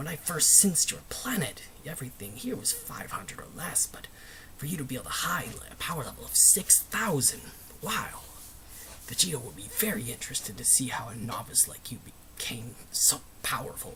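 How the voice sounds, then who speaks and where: Whispering at a fairly quick pace, a man speaks. He is doing a put-on character voice. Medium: solo performance. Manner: boastful, threatening.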